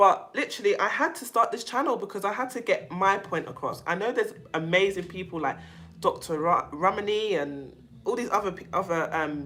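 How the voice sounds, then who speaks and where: In a London accent, a woman talks at a fairly quick pace in a bright, sharp, animated tone, with very wide pitch swings and big swings in loudness. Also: medium pitch for a woman. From London, England. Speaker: self-help channel host on narcissistic abuse. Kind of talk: casual livestream chat with viewers. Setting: livestream.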